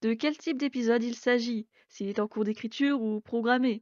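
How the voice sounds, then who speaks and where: The sound is dry and close, with no echo and a quiet background. Delivery is moderately paced with fairly even intonation. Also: woman. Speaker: education podcaster. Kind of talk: scripted podcast monologue.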